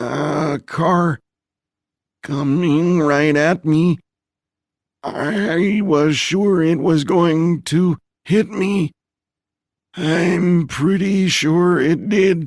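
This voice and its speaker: A put-on character voice at a very slow pace, with long, frequent pauses. Loudness stays very even and the intonation fairly even. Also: man, high pitch for a man. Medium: read story. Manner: wry, sardonic.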